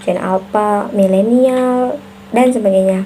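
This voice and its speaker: Noticeable background noise sits behind a woman's voice. She speaks at a fairly high pitch with fairly even intonation. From Central Java (Brebes), Indonesia. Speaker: university student. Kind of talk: recorded class assignment answer. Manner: hesitant with frequent fillers.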